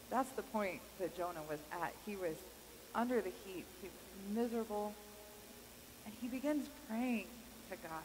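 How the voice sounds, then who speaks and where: A woman with a fairly high voice speaks with long, frequent pauses against noticeable background noise. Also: moderate pace. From Kansas. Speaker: pastor. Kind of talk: sermon. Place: church.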